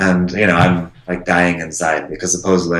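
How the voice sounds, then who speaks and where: Noticeable background noise surrounds a man with a very deep, low pitch. His intonation is monotone and flat, and his pace is moderate. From US Southwest, Phoenix Arizona. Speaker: English teacher. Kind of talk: casual interview.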